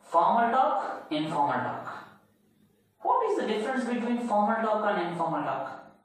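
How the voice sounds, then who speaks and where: In a room with strong echo, a man with a high pitch speaks at a moderate pace with lively intonation. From India. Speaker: English communication skills teacher. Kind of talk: lecture. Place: classroom.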